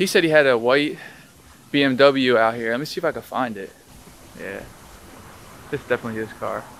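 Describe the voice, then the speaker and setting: A fairly quick pace broken by long, frequent pauses, with ordinary pitch variation, big swings in loudness, dry echo-free sound and light background noise. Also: man. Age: 20s. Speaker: car YouTuber. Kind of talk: casual vlog talk to camera. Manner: animated. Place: street. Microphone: phone near.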